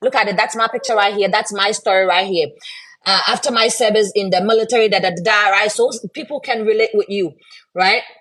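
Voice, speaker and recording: A woman speaks at a fairly quick pace. Her pitch is fairly high, and her intonation is fairly even. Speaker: online business promoter, military veteran. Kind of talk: live stream sales pitch. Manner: loud; casual, hesitant with fillers.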